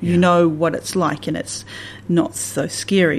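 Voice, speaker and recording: A woman with a Southland accent speaks in a fairly low pitch. Her intonation is lively. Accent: New Zealand, Southland. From New Zealand, Southland and the Catlins. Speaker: church minister. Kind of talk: radio interview.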